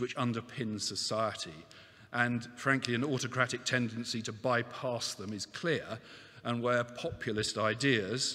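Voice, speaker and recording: Ordinary pitch variation from a man, quiet background behind him. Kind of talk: opening speech. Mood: warm, lightly humorous. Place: hall. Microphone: podium.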